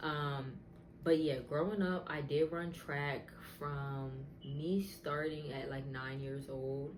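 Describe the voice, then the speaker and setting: Speaking fairly slowly with ordinary pitch variation, a woman's voice carries audible room echo. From US Northeast, southern New Jersey. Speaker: wig business owner and content creator. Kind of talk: testimony. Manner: casual, filler-heavy.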